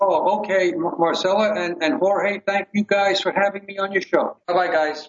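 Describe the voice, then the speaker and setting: A man with a high pitch speaks at a very slow pace with fairly even intonation and hardly any pauses. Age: 70s. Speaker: detox device manufacturer. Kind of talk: interview. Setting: phone call.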